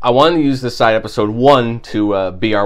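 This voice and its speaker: There is audible room echo around a man's voice. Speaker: podcast co-host. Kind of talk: casual chat.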